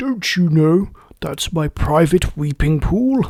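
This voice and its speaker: A man puts on a character voice at a fairly high pitch. He talks at a fairly slow pace. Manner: angry.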